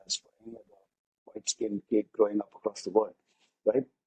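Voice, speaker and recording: In a dry, close sound with no echo, a man speaks in a dark, mellow tone. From India, urban. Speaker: podcast guest. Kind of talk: casual interview chat. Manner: animated.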